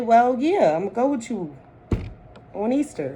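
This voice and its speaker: Audible room echo surrounds the voice. Noticeable background noise runs underneath. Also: woman. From Delaware, US. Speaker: vlogger. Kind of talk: personal talk to camera. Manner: rambling, hesitant with fillers.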